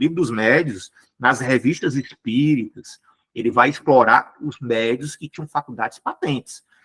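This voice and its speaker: A man is speaking. His voice sounds close-up and dry, without any echo. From Brazil, Ceará (Fortaleza). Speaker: spiritist lecturer. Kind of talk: lecture. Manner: fast.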